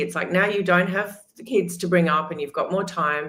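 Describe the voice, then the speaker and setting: This woman's voice sits fairly low in pitch and shows ordinary pitch variation. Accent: Australian. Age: 60s. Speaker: metabolic health coach. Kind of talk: casual chat.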